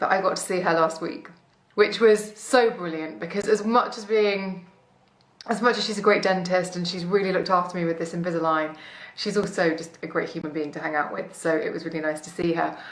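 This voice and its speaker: A woman's medium-pitched voice at a fairly quick pace, ordinary pitch variation and big swings in loudness, with audible room echo and noticeable background noise. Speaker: beauty blogger and podcaster. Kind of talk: casual vlog update. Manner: chatty.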